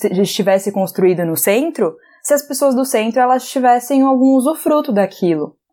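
Her tone dark and mellow, a woman speaks at a high pitch with very wide pitch swings and a moderate pace. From Brazil, Recife (Pernambuco). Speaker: podcast co-host. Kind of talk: casual chat.

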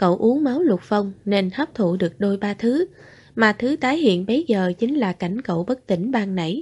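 The intonation moves in a lively way. The reading voice itself is unforced.

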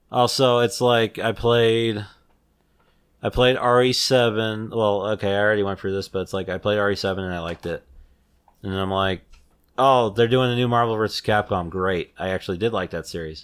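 A man with a normal speaking voice, a fairly low pitch, fairly even intonation, and a fairly quick pace. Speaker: podcast host. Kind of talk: casual chat.

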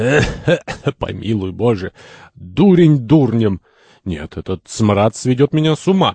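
A reading voice that sounds unforced

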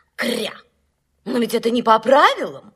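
A woman uses a put-on character voice in a fairly high pitch with big pitch swings. Her tone is fairly bright with a slightly husky edge. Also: moderate pace.

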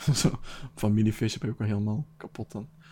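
A man speaks at a fairly quick pace with fairly even intonation. His fairly low voice has a dark, mellow tone.

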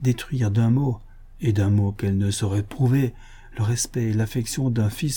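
Natural read-aloud delivery, its pitch moving in an ordinary way

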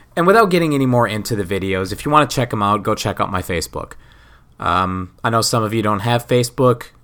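A man at medium pitch talks at a very fast pace with a bright, sharp tone. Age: 30s. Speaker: podcaster. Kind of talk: casual chat. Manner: rambling, halting.

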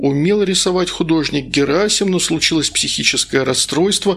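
A man's fairly high voice with a fairly bright tone, vocal fry and a slightly husky edge, at a moderate pace with ordinary pitch variation.

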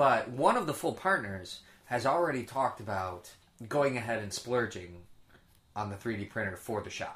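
Here is a man with an unremarkable speaking voice at medium pitch. His intonation is lively. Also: moderate pace. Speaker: podcast co-host. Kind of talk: casual banter between co-hosts. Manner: joking, talkative.

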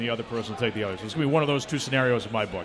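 A man talks at a medium pitch with ordinary variation. Noticeable background noise is present. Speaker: sports radio personality and PA announcer. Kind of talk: live podcast chat. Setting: bar with live audience.

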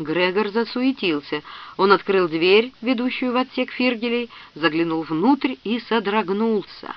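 Natural-voiced reading aloud, intonation lively

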